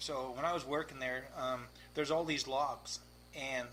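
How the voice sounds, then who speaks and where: With audible room echo and noticeable background noise, a man speaks in a Canadian accent. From Victoria, British Columbia, Canada. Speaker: race car driver. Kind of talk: casual chat. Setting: garage. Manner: animated.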